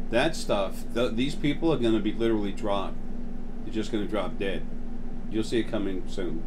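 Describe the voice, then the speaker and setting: The man's delivery is moderately paced. Background noise is noticeable throughout. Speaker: channel host talking about spiritual topics. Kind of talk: casual monologue. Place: home room. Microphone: phone near.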